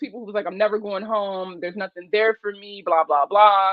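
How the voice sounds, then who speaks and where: This woman has a Baltimore accent and a fairly high pitch. Her tone is animated. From West Baltimore, Maryland. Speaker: personal finance livestreamer. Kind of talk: casual livestream chat. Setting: live stream.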